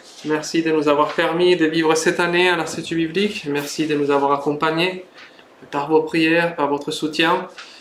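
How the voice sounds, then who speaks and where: Noticeable background noise and audible room echo accompany a man with a fairly high pitch. He speaks at a moderate pace in a flat monotone. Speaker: preacher, Bible institute student. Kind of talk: sermon. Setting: church service, livestreamed. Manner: hesitant, many fillers.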